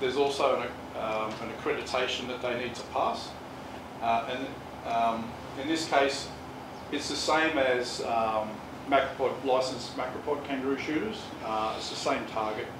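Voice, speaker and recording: A man talks at a fairly quick pace. Noticeable background noise sits behind him. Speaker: presenter. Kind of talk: presentation talk. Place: meeting room. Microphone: camera far.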